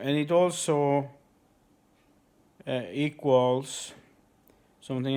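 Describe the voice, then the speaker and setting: A man with a non-native accent at a very slow pace, with ordinary pitch variation. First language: not English. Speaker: conspiracy video uploader. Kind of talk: monologue to camera. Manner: halting, many fillers.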